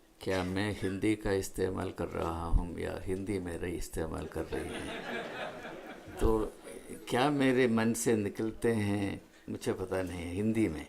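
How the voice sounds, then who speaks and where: A man talks at a fairly low pitch that varies in an ordinary way. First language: not Hindi (speaking Hindi). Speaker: invited speaker, educator. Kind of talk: public speech at book launch. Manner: halting in Hindi.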